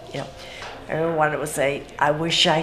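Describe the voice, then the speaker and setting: The speaker is a woman, with audible room echo. Noticeable background noise comes through as well. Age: 70s. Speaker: senior volunteer. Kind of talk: interview.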